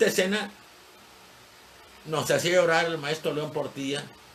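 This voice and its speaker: A man speaking at a fairly slow pace, with audible room echo and noticeable background noise. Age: 70s. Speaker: history teacher. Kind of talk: lecture. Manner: conversational, digressive.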